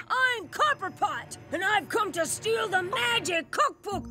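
A put-on character voice speaks at an extremely high pitch and a fairly slow pace. Faint music plays in the background. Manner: villainous.

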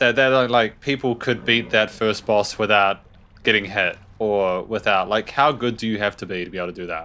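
A man speaks at a moderate pace in a fairly low pitch. His tone is bright and sharp. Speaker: gaming YouTuber. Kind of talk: let's play commentary. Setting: home recording with webcam. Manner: animated.

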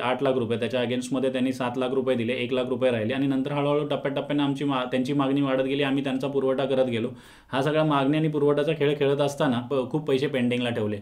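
His intonation is monotone and flat, and the background is quiet. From Mumbai, India; India. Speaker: businessman making a fraud complaint. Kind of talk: public statement to camera. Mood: aggrieved, earnest. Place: studio.

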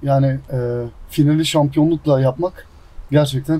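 At a moderate pace, a man speaks in a somewhat breathy, dark, mellow tone. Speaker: professional footballer. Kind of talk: casual interview. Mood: happy, proud about title. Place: garden.

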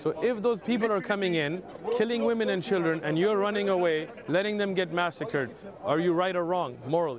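Recorded dry with no echo but with noticeable background noise, a high-pitched man talks at a fairly quick pace with very even loudness. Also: ordinary pitch variation. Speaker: street preacher. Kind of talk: heated debate. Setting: outdoors. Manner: animated. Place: street.

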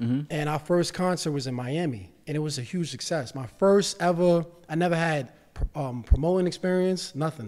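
Pitch shifts by an ordinary amount as the words come at a fairly quick pace. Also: man, fairly high pitch for a man, quiet background. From New York City (Bronx). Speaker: real estate investor and financial literacy educator. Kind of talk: casual chat. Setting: studio. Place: studio. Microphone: studio mic.

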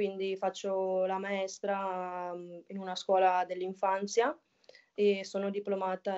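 Against a quiet background, a woman talks with monotone, flat intonation. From northern Italy. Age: 20s. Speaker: women's footballer. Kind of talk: casual interview. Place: home room. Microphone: video call.

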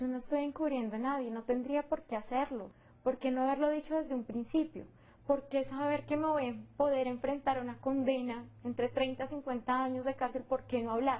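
Her voice sits at a high pitch, and this woman speaks with monotone, flat intonation. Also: moderate pace. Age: 20s. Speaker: defendant in a criminal case; interviewee. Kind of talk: interview testimony. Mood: serious, defensive. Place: home room. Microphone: lapel.

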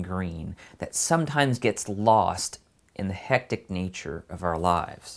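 A man with a fairly low voice speaks with lively intonation. Behind him the background is quiet. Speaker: channel host. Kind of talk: channel announcement to camera. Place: studio.

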